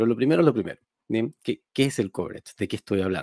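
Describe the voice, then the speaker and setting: Against a quiet background, a man speaks with lively intonation and a dark, mellow tone, the sound dry with no echo. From Chile, Quilpué (Valparaíso region); Valparaíso region, Chile. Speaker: software engineer and programming teacher; programming teacher. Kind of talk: tech conference talk. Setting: streamed talk. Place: home room. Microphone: headset.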